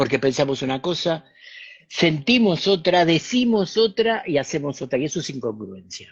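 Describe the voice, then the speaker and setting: Speaking at a moderate pace, a man with a fairly high pitch moves through very wide pitch swings. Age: 60s. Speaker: spiritual teacher and author. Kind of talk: talk in an online interview.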